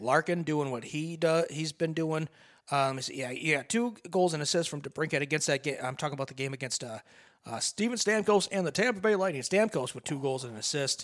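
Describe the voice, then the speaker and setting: A man with a normal speaking voice and fairly high pitch speaks at a fairly quick pace with lively intonation on a very clean recording with a silent background. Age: 40s. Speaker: radio co-host. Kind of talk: casual chat.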